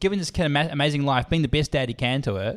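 Speaking very fast with a New Zealand accent, a man with a fairly high voice makes very wide pitch swings. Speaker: podcast co-host. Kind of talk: casual chat.

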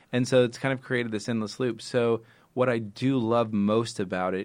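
At a moderate pace, a man with an unremarkable speaking voice and fairly even intonation talks over a quiet background. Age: 40s. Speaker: nonprofit founder. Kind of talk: interview about personal grief.

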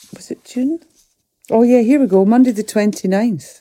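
A woman's fairly high voice with a Scottish Highland accent, dark and mellow in tone, in a dry, close sound with no echo. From Scottish Highlands (Fort William, Lochaber). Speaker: musician and actor. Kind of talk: casual chat. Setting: studio.

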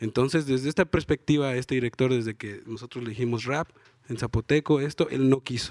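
A plain, everyday voice from a man, medium-pitched, fairly quick, with fairly even intonation and a dry, close sound with no echo. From Juchitán, Oaxaca, Mexico. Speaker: rapper. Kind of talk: live panel interview. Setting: stage with audience at book fair.

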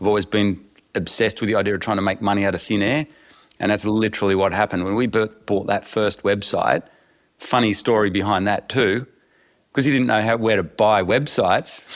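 The speaker has an Australian accent and a fairly quick pace. Intonation stays fairly even. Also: man, fairly low pitch for a man. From rural Australia. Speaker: entrepreneur. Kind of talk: interview.

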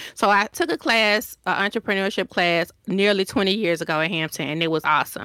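In a Southern US accent, a woman with a medium pitch and a bright, sharp tone talks at a fairly quick pace with hardly any pauses and very even loudness, in a very clean recording with a silent background. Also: ordinary pitch variation, dry, close sound with no echo. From Decatur, Georgia, US South. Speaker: designer and business owner. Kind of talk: interview answers, conversational.

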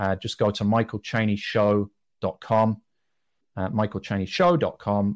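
In a very clean, dry and close recording with a silent background and no echo, a man with a British accent talks at a moderate pace, fairly low in pitch with ordinary pitch variation. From Britain. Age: 40s. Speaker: businessman and podcaster. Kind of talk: interview conversation.

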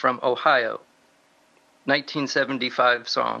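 A man speaks at a fairly high pitch. His tone is bright and sharp. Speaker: musician. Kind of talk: interview.

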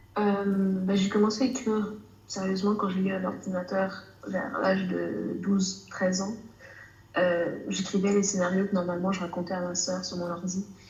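The speech is monotone and flat at a fairly slow pace, with audible room echo and noticeable background noise. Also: woman, medium pitch for a woman. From Canada. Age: 20s. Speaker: author and student. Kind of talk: casual interview. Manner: hesitant, many fillers.

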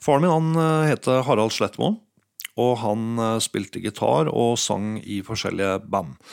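A man at medium pitch with lively intonation and a fairly slow pace, a plain, everyday voice. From Norway, Hallingdal (Geilo). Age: 50s. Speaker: music producer and DJ. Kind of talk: interview. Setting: home studio living room.

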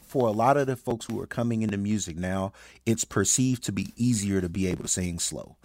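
With an American accent and a fairly low pitch, a man speaks at a very fast pace with ordinary pitch variation in a very clean recording with a silent background. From Birmingham, Alabama, US South. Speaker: music supervisor. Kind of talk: casual chat.

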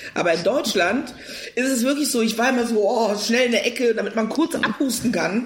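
The speech moves at a fairly quick pace with ordinary pitch variation and very even loudness. Noticeable background noise is present. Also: woman, fairly high pitch for a woman. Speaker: actress and comedian. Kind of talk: casual chat.

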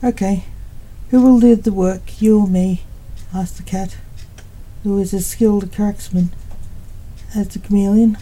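Somewhat breathy and dark, mellow in tone, a woman's voice stays monotone and flat, broken by long, frequent pauses. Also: medium pitch for a woman, moderate pace. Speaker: poet and author reading her own story. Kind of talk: literary audiobook reading, scripted narration of a thriller with dialogue. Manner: even, measured storyteller's pace, narrating plainly with light character dialogue.

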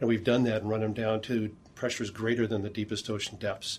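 A man rattles off words at a very fast pace in a medium pitch, his voice somewhat breathy and his intonation monotone and flat. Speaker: deep-sea engineer. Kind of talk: interview, guided tour.

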